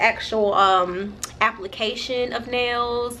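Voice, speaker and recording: A woman speaks with a fairly high pitch and fairly even intonation over noticeable background noise. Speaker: vlogger. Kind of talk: casual vlog. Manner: halting, many fillers.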